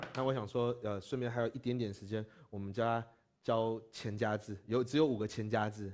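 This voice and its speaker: The man's delivery moves at a moderate pace, his intonation fairly even. Behind him, all is quiet. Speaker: Tibetan language teacher, Buddhist monk; Tibetan language teacher. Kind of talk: lecture. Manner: halting. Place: classroom. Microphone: lapel.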